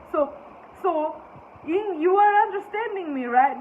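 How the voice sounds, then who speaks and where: With a non-native accent, a woman speaks with lively intonation. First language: not English. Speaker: spiritual teacher. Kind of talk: spiritual talk. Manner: halting.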